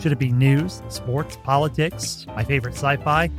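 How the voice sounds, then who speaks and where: With music playing behind him, a man talks at a medium pitch. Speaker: podcast host and broadcaster. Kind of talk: podcast host interviewing a guest.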